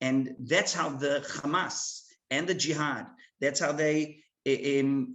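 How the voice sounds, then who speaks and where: The speaker talks at a very slow pace with an Israeli accent. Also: man. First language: Hebrew. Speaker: military officer. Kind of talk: presentation. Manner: halting, many fillers.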